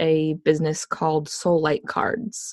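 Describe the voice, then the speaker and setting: In a normal speaking voice, a woman talks at a fairly slow pace with a fairly low pitch, the sound dry and close with no echo. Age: 20s. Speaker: holistic nutrition practitioner and cancer survivor. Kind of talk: interview.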